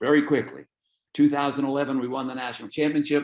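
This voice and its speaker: In an American accent, a man speaks at a medium pitch with ordinary pitch variation. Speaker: soccer coach. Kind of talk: webinar lecture. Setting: video call.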